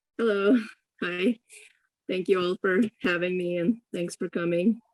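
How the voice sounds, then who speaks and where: Speaking at a fairly slow pace, a woman uses a medium pitch and fairly even intonation in a dry, close recording with no echo. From Ukraine (Kyiv), then US from age ~10. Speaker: visual artist, panelist. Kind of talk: personal talk at online panel.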